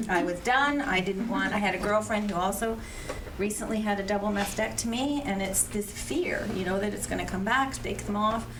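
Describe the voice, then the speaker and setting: A woman speaks at a medium pitch and a moderate pace with ordinary pitch variation. Room echo is audible, and background noise is noticeable. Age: 70s. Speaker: cancer survivor on a panel. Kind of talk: personal testimony.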